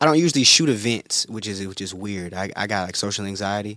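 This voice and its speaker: This man's voice sits fairly low in pitch and has a bright, sharp tone. The sound is dry and close with no echo, on a very clean recording against a silent background. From US South. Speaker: creative director and musician. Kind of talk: casual chat. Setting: studio.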